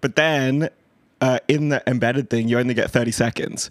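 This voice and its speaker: A man talks with an Australian accent and fairly even intonation. The recording is very clean, with a silent background and a dry, close sound with no echo. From Western Sydney, Australia. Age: 30s. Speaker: podcast host. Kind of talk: casual chat.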